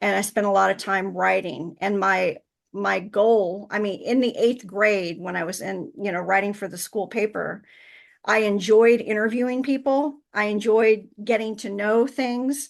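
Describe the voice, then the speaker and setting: A woman's medium-pitched voice with ordinary pitch variation, over a quiet background. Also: fairly slow pace. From central Illinois, US Midwest. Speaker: author and insurance professional. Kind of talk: interview. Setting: podcast. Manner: hesitant with fillers.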